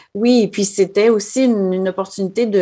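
This woman has a dark, mellow tone and speaks at a fairly slow pace with ordinary pitch variation. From Quebec City. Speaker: assistant school principal. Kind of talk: interview.

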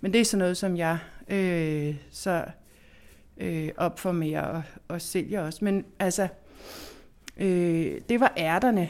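A woman talks very slowly at a fairly low pitch, with ordinary pitch movement. Long, frequent pauses break up her speech over a silent background in a very clean recording. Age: 40s. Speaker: architect and seed enthusiast. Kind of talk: interview. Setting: indoor backhouse. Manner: hesitant with fillers.

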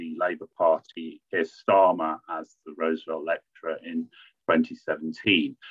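A man is speaking. His pace is fairly slow. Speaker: academic department head. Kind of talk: formal introduction and Q&A moderation. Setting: video call.

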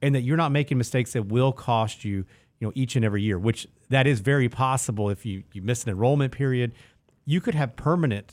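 The pace is fairly quick, with lively intonation. It is a normal speaking voice. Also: man, very clean recording, silent background. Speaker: financial advisor co-host. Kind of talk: casual chat.

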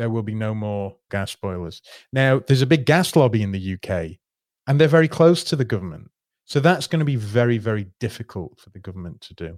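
Over a very clean recording with a silent background, a man talks at a fairly quick pace with a medium pitch and lively intonation. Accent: Yorkshire. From northern England, Yorkshire (near Doncaster). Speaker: pension fund portfolio manager. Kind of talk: interview.

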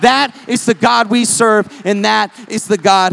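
The voice is loud, with music playing in the background. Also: man. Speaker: preacher. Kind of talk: sermon. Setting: church.

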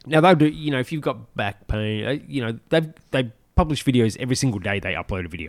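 A man with a medium pitch talks at a very fast pace with lively intonation and vocal fry. The recording is very clean, with a silent background. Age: 40s. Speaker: podcast co-host, fitness enthusiast. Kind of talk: casual chat.

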